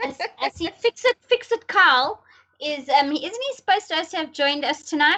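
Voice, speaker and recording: A woman projects her voice at an extremely high pitch, bright and sharp in tone, with very wide pitch swings and a dry, close sound with no echo. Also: moderate pace. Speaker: podcast host. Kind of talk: casual chat. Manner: loud.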